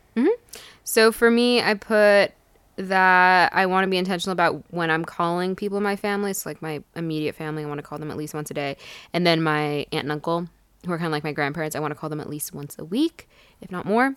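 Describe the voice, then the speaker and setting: On a very clean recording with a silent background, a woman talks very fast at a fairly low pitch, her loudness swinging widely. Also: ordinary pitch variation. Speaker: podcast co-host. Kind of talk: casual chat.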